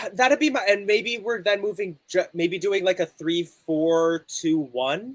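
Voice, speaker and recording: A man with a Canadian accent, high in pitch, lively in intonation, with hardly any pauses and a dry, close sound with no echo. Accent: Canadian North American accent, rhotic. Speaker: football fan watchalong co-host. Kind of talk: casual chat with live match commentary. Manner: speaks quickly at times.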